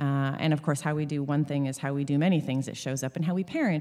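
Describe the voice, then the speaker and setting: With a Canadian accent, a woman speaks at a very fast pace in a dark, mellow tone. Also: very clean recording, silent background. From Sunshine Coast, British Columbia, Canada. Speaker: equine therapist and author. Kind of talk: casual interview. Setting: in-person recording.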